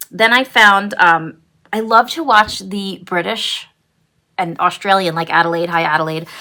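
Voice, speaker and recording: A woman with a Brooklyn accent, medium pitch and a bright, sharp tone, speaking at a fairly slow pace with ordinary pitch variation. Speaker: cross-stitch vlogger. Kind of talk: casual vlog chat. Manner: hesitant, many fillers.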